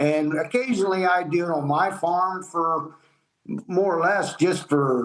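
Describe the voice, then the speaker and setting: A man with a Midwestern American accent talks at a fairly slow pace. His pitch is high. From Ohio. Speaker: farmer. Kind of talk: interview answer. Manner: casual, plain-spoken.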